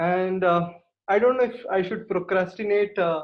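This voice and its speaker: A man speaks with an Indian accent at a high pitch. His pitch varies in an ordinary way, and his pace is moderate. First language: Kannada. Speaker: guest at speaking club. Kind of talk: impromptu feedback at online club meeting. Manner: halting, many fillers.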